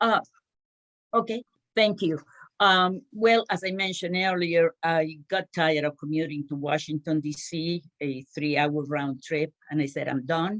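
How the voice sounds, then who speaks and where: A woman with a Spanish accent talks at a fairly slow pace and a fairly low pitch. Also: ordinary pitch variation, dry, close sound with no echo. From Cuba. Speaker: small business owner. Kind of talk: panel discussion. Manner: halting.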